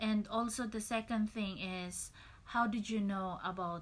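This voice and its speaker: In a strong Filipino accent, this somewhat breathy voice keeps a fairly even intonation. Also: woman. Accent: Filipino, thick. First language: Tagalog. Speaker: registered nurse. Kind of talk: tutorial. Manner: casual, hesitant.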